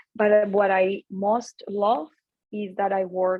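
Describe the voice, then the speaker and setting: A woman speaks with a Latin American accent. Her pitch is medium. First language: Spanish. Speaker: tech executive and speaker. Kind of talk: talk to students. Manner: hesitant, many fillers.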